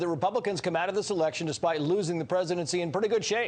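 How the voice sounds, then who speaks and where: A man talks very fast with an American accent, his pitch high and his intonation fairly even. Noticeable background noise runs beneath him. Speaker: news anchor. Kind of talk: television news anchor interview.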